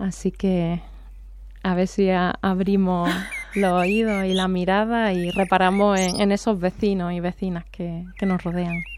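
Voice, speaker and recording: A woman with an Andalusian accent at a medium pitch, fairly slow in pace, with monotone, flat intonation. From Andalusia, Córdoba. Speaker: poet and veterinarian. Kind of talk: radio interview.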